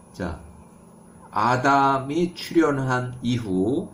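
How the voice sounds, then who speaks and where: Audible room echo surrounds the voice. A man talks at a very slow pace. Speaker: bible teacher. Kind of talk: lecture. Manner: halting, self-correcting.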